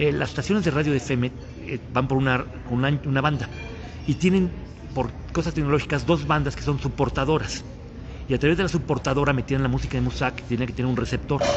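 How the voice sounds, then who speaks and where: Noticeable background noise surrounds a man at medium pitch who speaks at a very fast pace with ordinary pitch variation, stopping for long, frequent pauses. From Mexico, Puebla. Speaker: municipal economy and tourism official. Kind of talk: casual interview chat. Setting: café.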